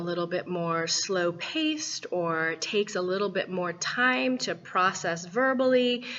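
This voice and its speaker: Noticeable background noise accompanies a woman speaking fairly slowly with lively intonation. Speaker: voice and business coach. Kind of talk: coaching video talk. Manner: animated.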